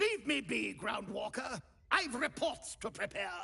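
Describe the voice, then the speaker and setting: A man's put-on character voice, extremely high-pitched, at a moderate pace. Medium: video game. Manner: brusque, commanding.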